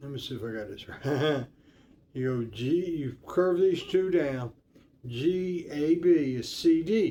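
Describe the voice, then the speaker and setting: At a very slow pace, a man with a fairly high voice and a dark, mellow tone uses lively intonation and big swings in loudness. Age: 60s. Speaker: guitar teacher. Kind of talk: tutorial. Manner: halting; casual.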